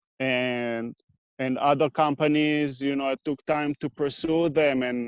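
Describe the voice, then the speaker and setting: In a dry, close sound with no echo, a man with a non-native accent talks at a fairly slow pace, his fairly high voice monotone and flat. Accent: foreign. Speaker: equipment repair business owner. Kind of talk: interview. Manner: halting.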